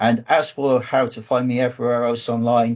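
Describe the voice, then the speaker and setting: A fairly quick man's voice at medium pitch, with a southwest English accent. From southwest England. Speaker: data engineering manager and trainer. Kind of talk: online conference presentation. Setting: video call.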